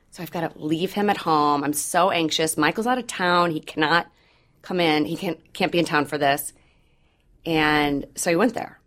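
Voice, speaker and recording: A woman speaks with an American accent in an ordinary speaking voice, fairly low in pitch with ordinary pitch variation and a moderate pace. The recording is very clean, with a silent background. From Missouri. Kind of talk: personal testimony in interview.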